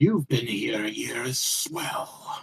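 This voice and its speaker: In a put-on character voice, a man sounds raspy at a fairly high pitch. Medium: actual play.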